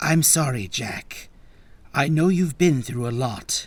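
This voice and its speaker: The speaker uses a put-on character voice. The intonation is lively. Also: man, fairly high pitch for a man, fairly slow pace. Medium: read story. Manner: gentle, soothing.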